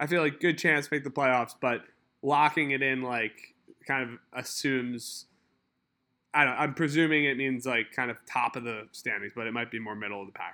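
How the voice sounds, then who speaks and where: On a very clean recording with a silent background, a man speaks with an American accent in a bright, sharp tone. His pitch is medium, with ordinary variation, at a moderate pace. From Philadelphia. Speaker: fantasy football podcast host. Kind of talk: casual chat.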